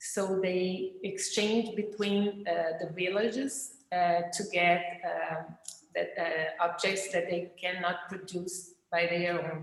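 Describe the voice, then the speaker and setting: A woman with a Portuguese accent at a very slow pace with hardly any pauses, medium pitch and fairly even intonation, amid audible room echo and noticeable background noise. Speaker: craft writer. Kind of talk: presentation. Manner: halting.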